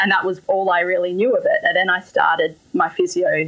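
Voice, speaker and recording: A woman talks at a moderate pace in an Australian accent. Noticeable background noise can be heard. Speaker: physiotherapist. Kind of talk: interview.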